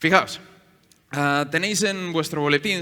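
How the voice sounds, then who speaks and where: Animated and bright with a sharp tone, a man with a fairly high pitch speaks at a moderate pace with ordinary pitch variation. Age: 30s. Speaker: pastor. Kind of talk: sermon. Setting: church.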